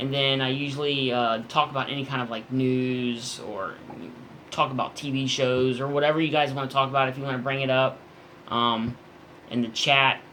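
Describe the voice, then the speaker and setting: This man talks at a medium pitch in a flat, monotone delivery. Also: moderate pace. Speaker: comic book YouTuber. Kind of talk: live stream chat. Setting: home at night, live stream. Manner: trying to keep voice down.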